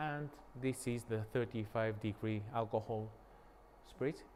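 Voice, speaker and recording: Speaking with a Japanese accent, a man keeps a moderate pace. His pitch varies in an ordinary way. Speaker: sake brewery owner. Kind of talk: guided tour. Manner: halting.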